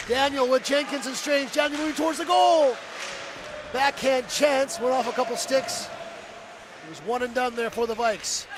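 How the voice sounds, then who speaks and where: With noticeable background noise behind him, a man speaks at an extremely high pitch, using ordinary pitch variation and long, frequent pauses. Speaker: play-by-play commentator. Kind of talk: live commentary. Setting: broadcast booth at a hockey arena. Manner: fast; animated.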